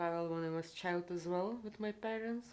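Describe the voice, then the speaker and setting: With a Lithuanian accent, a woman speaks at a fairly low pitch and keeps her intonation fairly even. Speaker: traveler. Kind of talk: interview.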